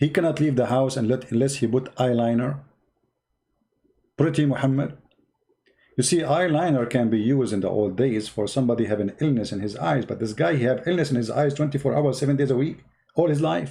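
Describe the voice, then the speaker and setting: His dark, mellow tone is somewhat breathy. This man talks at a fairly quick pace. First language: Arabic. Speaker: online religious debater. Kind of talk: live stream chat. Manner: animated.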